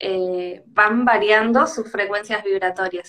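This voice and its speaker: In a Rioplatense accent, a woman speaks at a fairly high pitch with fairly even intonation. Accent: Argentine Rioplatense Spanish. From Argentina, Tandil. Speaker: livestream host. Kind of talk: casual conversation.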